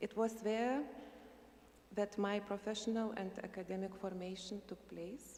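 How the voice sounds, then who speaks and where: With a Lithuanian accent, a woman speaks at a fairly slow pace and medium pitch. Her intonation is fairly even, and there is noticeable background noise. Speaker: university administrator, invited speaker. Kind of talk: prepared speech read aloud. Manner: halting.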